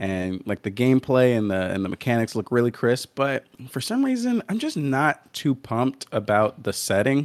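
A man speaks in an ordinary speaking voice at medium pitch, with ordinary pitch variation, a moderate pace and hardly any pauses. The recording is very clean, with a silent background and a dry, close sound with no echo. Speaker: guest podcaster, gaming. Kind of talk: casual chat. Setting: morning recording.

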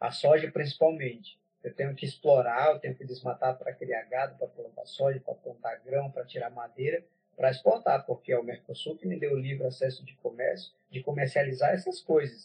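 His loudness rises and falls in big swings. The man moves along at a fairly quick pace. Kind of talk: interview conversation.

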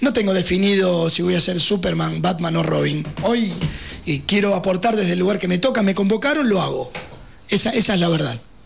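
Talking at a fairly quick pace with a Rioplatense accent, a man with a high-pitched voice uses ordinary pitch variation while the room echo is audible. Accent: Argentine Rioplatense Spanish. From Buenos Aires, Argentina. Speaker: political candidate. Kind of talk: radio interview. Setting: radio studio.

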